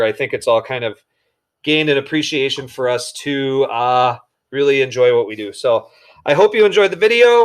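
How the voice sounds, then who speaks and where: Moderately paced speech from a man with a fairly high pitch. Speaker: high school shop teacher. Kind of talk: recorded classroom tutorial. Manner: animated.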